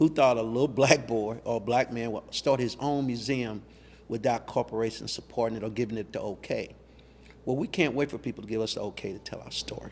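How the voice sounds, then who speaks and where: At a fairly quick pace, a man with an American accent talks with fairly even intonation in an ordinary speaking voice. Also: medium pitch for a man, big swings in loudness. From US, Louisville Kentucky. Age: 60s. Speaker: museum founder. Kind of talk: interview.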